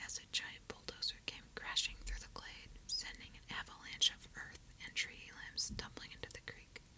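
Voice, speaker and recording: Someone whispers in a gentle tone at a moderate pace. Noticeable background noise runs underneath. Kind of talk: bedtime story reading, ASMR. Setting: binaural recording, listen with headphones. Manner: whispered; whispering, gentle.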